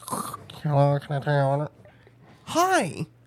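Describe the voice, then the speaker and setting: A put-on character voice at low-to-middle pitch and a fairly slow pace. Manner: polite, cheerful, put on.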